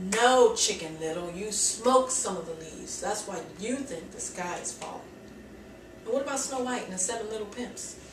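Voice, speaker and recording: A woman's fairly high voice with lively intonation, big swings in loudness and a moderate pace over noticeable background noise. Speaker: stand-up comedian. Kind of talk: stand-up comedy set to a live audience. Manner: upbeat, energetic, comedic delivery.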